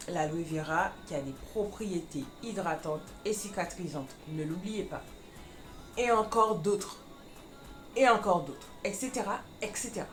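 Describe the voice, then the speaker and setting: Music plays in the background as a woman of medium pitch speaks at a fairly slow pace, with lively intonation and long, frequent pauses. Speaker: beauty vlogger. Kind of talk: casual product review to camera.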